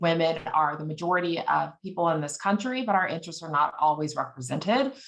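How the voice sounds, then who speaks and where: A woman's fairly low voice in an American accent, with ordinary pitch variation and a fairly quick pace. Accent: Texan, comes out when nervous. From Texas. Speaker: advocacy group executive. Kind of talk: guest talk. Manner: halting with many fillers.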